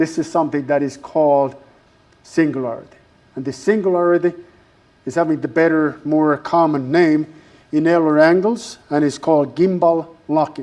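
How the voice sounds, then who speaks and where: A man with a strong non-native accent and a dark, mellow tone at a fairly quick pace. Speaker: university lecturer. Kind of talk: lecture. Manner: halting, many fillers.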